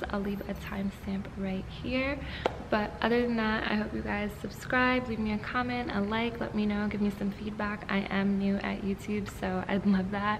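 A woman talks at a moderate pace with flat, monotone intonation. Background noise is noticeable. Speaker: fitness vlogger. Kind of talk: casual vlog chat. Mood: relaxed, friendly. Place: gym. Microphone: phone near.

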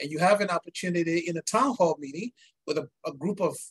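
Against a quiet background, the speaker goes at a very fast pace with ordinary pitch variation. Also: man. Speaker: energy industry executive and interviewer; interviewer. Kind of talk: interview conversation. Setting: video call. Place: office.

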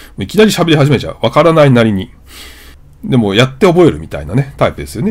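Speech rushes by at a very fast pace with vocal fry. The pitch swings very widely. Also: man. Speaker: YouTuber learning English. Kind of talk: vlog-style explanatory monologue.

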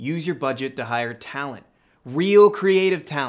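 A man's voice with lively intonation at a moderate pace, over a quiet background. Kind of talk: acted dialogue, opinionated rant. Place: home room.

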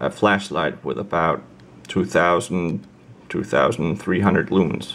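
The speech moves at a fairly slow pace. Vocal fry runs through it. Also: man. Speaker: product reviewer. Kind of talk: casual product review to camera. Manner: hesitant, many filler words. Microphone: phone near.

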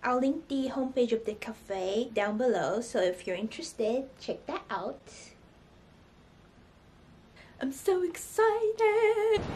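A woman talks at a very slow pace with long, frequent pauses. Her high voice moves in very wide pitch swings against light background noise. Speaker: vlogger. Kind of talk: casual vlog chat. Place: home room. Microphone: phone near.

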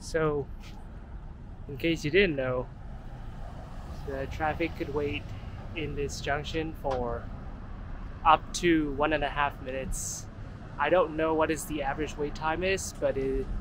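Fairly slow speech with long, frequent pauses, dry and echo-free, over noticeable background noise. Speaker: walking tour host. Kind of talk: casual vlog commentary. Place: street. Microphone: phone near.

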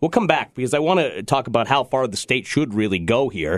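The pitch of this man's voice swings very widely. The background is quiet. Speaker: radio talk show host. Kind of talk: radio talk show commentary. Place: studio.

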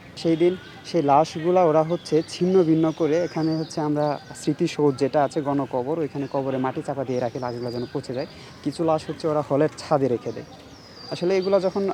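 A man's fairly high pitch and fairly even intonation over noticeable background noise. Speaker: university student. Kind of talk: interview.

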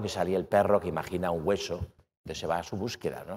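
Rattling along at a very fast pace, a man keeps his intonation fairly even. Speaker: author and philosopher; speaker. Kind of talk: academic lecture. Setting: stage with audience. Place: hall. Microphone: lapel.

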